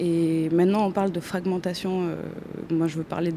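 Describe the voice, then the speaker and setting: A woman with a fairly low pitch talks in monotone, flat intonation at a moderate pace. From Chile. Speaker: architecture student. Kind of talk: interview. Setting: exhibition hall.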